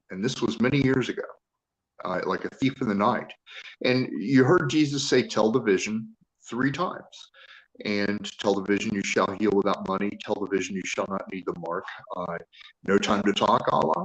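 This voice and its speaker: This man talks at a moderate pace in a medium pitch with ordinary pitch variation. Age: 60s. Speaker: caller on a live-stream panel. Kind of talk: religious testimony. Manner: halting.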